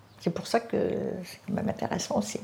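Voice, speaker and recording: A woman talks at a moderate pace. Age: 80s+. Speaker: charity volunteer. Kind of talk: interview testimony.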